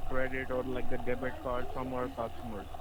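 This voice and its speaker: A man's flat, monotone voice with audible room echo and noticeable background noise. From India. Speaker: phone scammer posing as tech support. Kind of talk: sales call.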